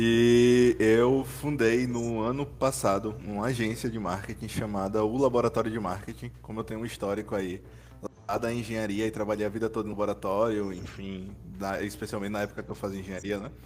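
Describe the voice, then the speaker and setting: Using a normal speaking voice, a man talks at a fairly quick pace and a fairly low pitch. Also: ordinary pitch variation. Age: 20s. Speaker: marketing agency founder. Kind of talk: casual chat.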